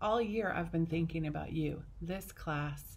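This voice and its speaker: A somewhat breathy woman speaks at a fairly slow pace and a fairly low pitch. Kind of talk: ceremony speech. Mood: warm, heartfelt. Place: classroom. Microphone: phone near.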